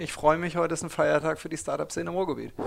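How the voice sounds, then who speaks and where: This man speaks at a fairly high pitch. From Ruhr area, Germany. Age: 40s. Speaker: startup founder and investor. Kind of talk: interview. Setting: office space.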